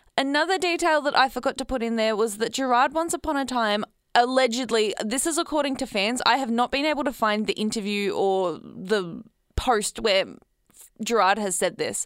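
A woman with an Australian accent speaks at a fairly high pitch and a moderate pace. Her tone is animated and her intonation lively, in a very clean recording with a silent background. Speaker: community radio host. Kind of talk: solo podcast monologue. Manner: laughs often, animated.

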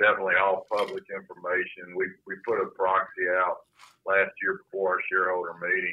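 This man talks at a moderate pace. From North Carolina, Salisbury. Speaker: bank executive. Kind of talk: interview. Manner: halting.

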